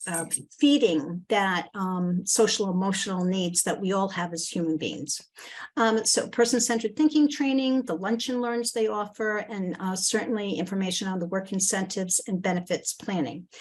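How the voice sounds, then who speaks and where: Using an unremarkable speaking voice, a woman talks at a medium pitch and a moderate pace, with ordinary pitch variation. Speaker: presenter at a community forum. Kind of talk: presentation. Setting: video call.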